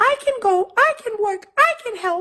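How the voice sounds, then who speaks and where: A put-on character voice pipes up at an extremely high pitch and sounds squeaky. The delivery keeps a moderate pace. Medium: read story.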